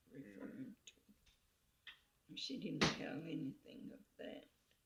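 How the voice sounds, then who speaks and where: A woman with an American accent speaks with vocal fry. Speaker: Choctaw elder. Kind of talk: oral history interview answer.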